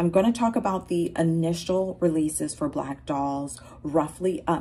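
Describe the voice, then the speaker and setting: Her voice carries a dark, mellow tone. The woman also sounds somewhat breathy. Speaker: doll collector vlogger. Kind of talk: casual vlog chat. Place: home room. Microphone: phone near.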